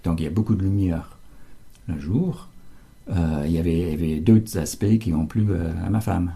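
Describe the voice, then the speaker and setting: Somewhat breathy, a man with a very deep, low pitch talks at a moderate pace with ordinary pitch variation and long, frequent pauses. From United States. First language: English (speaking French). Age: 70s. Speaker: translator, local resident. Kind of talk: interview. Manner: halting, many hesitations.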